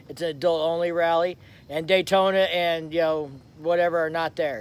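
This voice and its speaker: Loud and high-pitched, a man is speaking. He keeps a fairly quick pace. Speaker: motorcycle vlogger. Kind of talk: live stream chat. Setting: rented lake house. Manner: casual.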